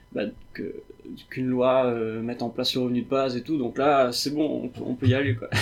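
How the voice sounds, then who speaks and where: A man talks at a fairly quick pace and medium pitch in a monotone, flat way. Background noise is noticeable. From Réunion. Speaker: software developer. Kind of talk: interview.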